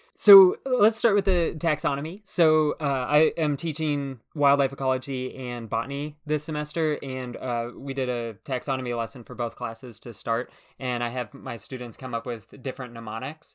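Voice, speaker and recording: A man's normal speaking voice at medium pitch, with ordinary pitch variation, a moderate pace and hardly any pauses, on a very clean recording with a silent background. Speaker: podcast host and naturalist educator. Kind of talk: educational podcast chat.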